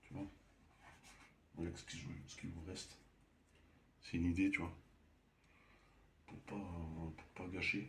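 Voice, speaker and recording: A soft-spoken man with a very deep, low pitch speaks very slowly with fairly even intonation and long, frequent pauses. His loudness swings widely, and there is audible room echo. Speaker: amateur painter. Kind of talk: painting tutorial. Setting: at home. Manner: halting.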